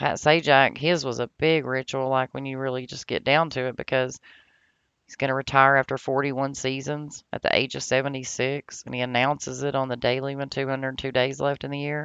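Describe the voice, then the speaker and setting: A woman with a very deep, low pitch talks at a fairly quick pace in a monotone, flat intonation, with big swings in loudness and a dry, close sound with no echo. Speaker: YouTuber teaching gematria. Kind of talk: casual vlog monologue. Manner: fast.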